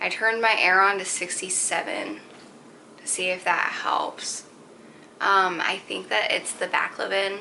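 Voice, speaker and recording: A woman with an American accent speaks at medium pitch and a fairly slow pace, with ordinary pitch variation. Her loudness swings widely, and background noise is noticeable. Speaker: vlogger. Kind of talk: personal vlog. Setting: at home on couch. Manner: casual, filler-heavy; occasional stutter.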